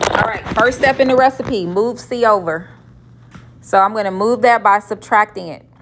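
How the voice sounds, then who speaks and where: A woman speaks with a fairly high pitch and ordinary pitch variation. Noticeable background noise runs under her voice. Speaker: math teacher. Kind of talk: classroom lecture. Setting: classroom with students. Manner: slow.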